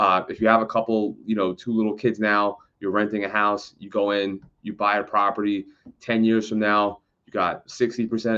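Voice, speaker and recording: A man's fairly low voice with an American accent, monotone and flat. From New York City, the Bronx. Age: 30s. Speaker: real estate agent. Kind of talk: educational talk to camera. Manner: fast; casual, halting with fillers.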